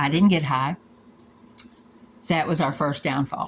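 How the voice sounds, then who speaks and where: This woman speaks with a fairly low pitch. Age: 60s. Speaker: former hotel employee making a complaint video. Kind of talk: personal complaint monologue. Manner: emotional, heated.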